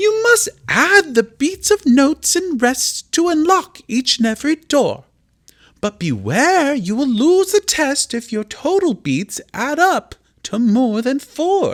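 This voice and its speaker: A put-on character voice from a man at an extremely high pitch. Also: fairly slow pace. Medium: read story. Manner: announcing, instructive.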